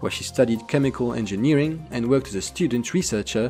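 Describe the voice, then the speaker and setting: A man's medium-pitched voice at a fairly quick pace, with very wide pitch swings and music in the background. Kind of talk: documentary narration.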